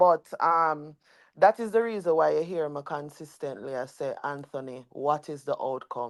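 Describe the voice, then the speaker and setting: A woman's very deep, low voice at a moderate pace, with big swings in loudness, in a very clean recording over a silent background. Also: ordinary pitch variation. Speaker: livestream host, dancehall commentator. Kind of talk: livestream panel discussion. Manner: loud, passionate.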